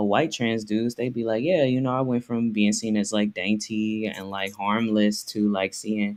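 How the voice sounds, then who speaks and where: In a plain, everyday voice with an American accent, the speaker goes at a moderate pace with fairly even intonation. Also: man. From US South. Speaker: memoir author. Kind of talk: interview. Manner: casual, filler-heavy.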